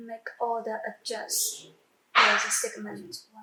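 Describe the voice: A woman's bright, sharp tone at a fairly high pitch, slow pace and monotone, flat intonation, with audible room echo.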